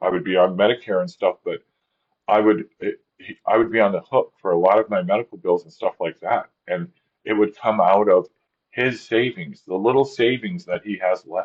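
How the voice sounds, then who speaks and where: Moderate pace, lively intonation, and big swings in loudness. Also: man, medium pitch for a man. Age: 60s. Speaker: video blogger. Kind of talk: personal vlog monologue. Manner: frequent filler okay, halting.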